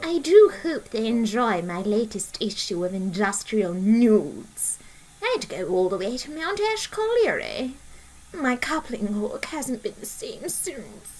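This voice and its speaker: A woman's put-on character voice, fairly high-pitched and fairly slow, with clear background noise. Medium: machinima. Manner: crude, brash.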